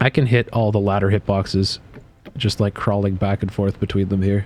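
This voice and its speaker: Against noticeable background noise, a man talks at a fairly quick pace in a fairly low pitch. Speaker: video game streamer. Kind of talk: casual live-stream chat while gaming. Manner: casual, halting with fillers.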